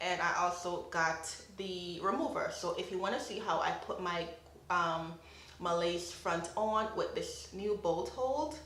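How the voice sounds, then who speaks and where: Noticeable background noise fills the clip. Through it, a woman's voice carries audible room echo. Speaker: beauty vlogger. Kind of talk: makeup tutorial.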